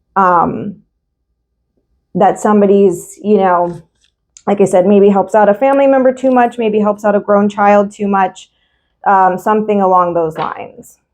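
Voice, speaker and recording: Speaking at a moderate pace with long, frequent pauses, a woman keeps a medium pitch and fairly even intonation. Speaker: tarot reader. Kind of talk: tarot reading monologue. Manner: hesitant, many fillers.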